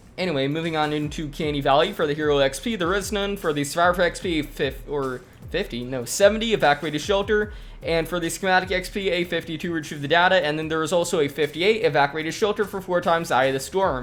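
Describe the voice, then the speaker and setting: Speech runs at a very fast pace with music in the background. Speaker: gaming YouTuber. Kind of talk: gaming update commentary. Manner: casual, quick.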